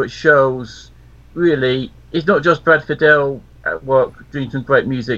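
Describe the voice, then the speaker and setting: With a southern English accent, the man has a fairly high pitch, ordinary pitch variation and a bright, sharp tone. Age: 50s. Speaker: radio co-host. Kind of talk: casual chat. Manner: halting.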